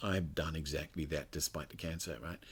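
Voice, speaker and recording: A man speaks with ordinary pitch variation on a very clean recording with a silent background. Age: 60s. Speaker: author and cancer survivor. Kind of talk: interview. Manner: halting.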